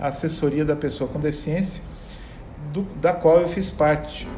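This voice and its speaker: A man speaks with a São Paulo accent over background music, his voice carrying an audible room echo. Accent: Brazilian Portuguese, São Paulo (paulista). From Brazil, São Paulo state (ABC region, São Caetano do Sul). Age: 60s. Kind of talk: interview conversation.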